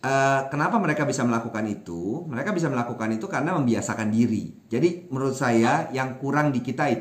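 A man talks at a fairly quick pace, with audible room echo in the recording. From Indonesia, Minangkabau (West Sumatra); Indonesia. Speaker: language activist, Wikipedia editor; guest. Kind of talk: interview. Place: home room. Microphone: webcam.

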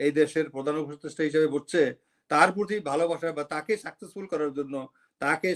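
The recording is very clean with a silent background as a man speaks in a plain, everyday voice, fairly high pitched, with fairly even intonation. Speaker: retired army officer and political commentator. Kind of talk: political commentary interview.

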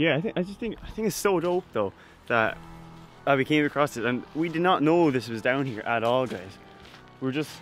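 A man at a fairly quick pace, with a dry sound, no echo and faint music in the background. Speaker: vlogger. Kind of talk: casual vlog chat. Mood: excited. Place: open country. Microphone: phone near.

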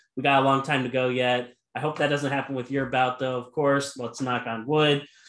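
A man speaks at a fairly high pitch in a bright, sharp tone. The background is quiet, though room echo is audible. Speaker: podcast interviewer. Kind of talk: interview question. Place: home room.

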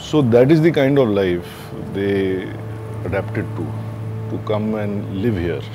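A man speaks at a fairly low pitch with ordinary pitch variation. Music plays in the background. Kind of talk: interview answer. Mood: calm, reflective. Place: garden.

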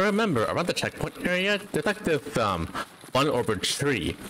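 The pace is moderate as a man speaks. Background noise can be clearly heard. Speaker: VTuber game streamer. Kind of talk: casual gaming stream chat. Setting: late-night stream at 3 AM. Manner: loud.

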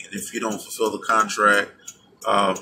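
A man is talking. Light background noise sits behind him. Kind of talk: casual vlog chat. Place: car. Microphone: phone near.

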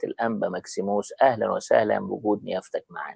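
A man with an Egyptian accent, against a quiet background, with a dry sound and no echo. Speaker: TV host. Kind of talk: TV discussion program. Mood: polite formal welcome. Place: studio. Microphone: lapel.

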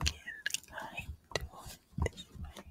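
Whispering, a woman speaks in a soft-spoken way. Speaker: ASMR creator. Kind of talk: ASMR whisper. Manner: close soft ASMR whisper. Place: home room. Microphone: studio mic.

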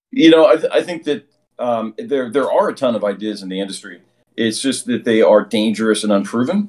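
An unremarkable speaking voice, this man talks at a fairly quick pace with a medium pitch and lively intonation. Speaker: video game developer. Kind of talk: interview.

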